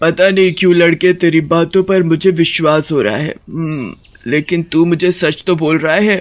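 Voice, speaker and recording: A man does a cartoonish character voice, pitched high for a man. He keeps a moderate pace with hardly any pauses. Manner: cackling.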